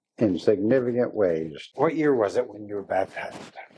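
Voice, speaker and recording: A man with an American accent, a dark, mellow tone, lively intonation and a fairly slow pace. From US, southeast Montana. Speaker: interviewer. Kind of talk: interview conversation.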